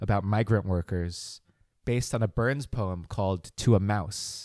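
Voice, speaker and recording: In an animated tone, a man with an American accent speaks at a fairly low pitch with ordinary variation, on a very clean recording with a silent background and a dry, close sound with no echo. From New Jersey, Morris County. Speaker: quiz show champion. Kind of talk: casual interview. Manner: animated, laughs often.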